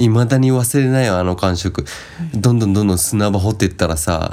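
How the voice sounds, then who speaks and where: A man with lively intonation and a fairly low pitch speaks at a moderate pace, noticeable background noise behind him. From Japan, Shizuoka. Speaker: podcast co-host. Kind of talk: casual chat.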